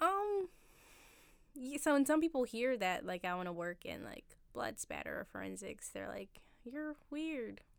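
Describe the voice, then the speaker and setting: With a Philadelphia accent, a woman talks at a moderate pace in a fairly high pitch, her intonation lively. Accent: Philadelphia-area American. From Philadelphia area, Pennsylvania. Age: 20s. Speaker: barista. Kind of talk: casual chat. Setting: studio with microphones.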